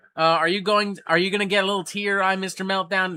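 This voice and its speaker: Very fast and raised in projection, a man's high voice carries a bright, sharp tone and an American accent. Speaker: livestream host. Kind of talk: casual livestream chat. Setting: livestream. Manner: animated, profane.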